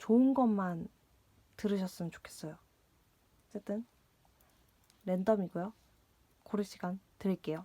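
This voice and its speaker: Leaving long, frequent pauses, a woman talks in a medium pitch with ordinary variation and a dark, mellow, somewhat breathy tone, in a dry, close sound with no echo. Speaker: tarot reader. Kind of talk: tarot reading. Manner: hesitant, many fillers and repetitions.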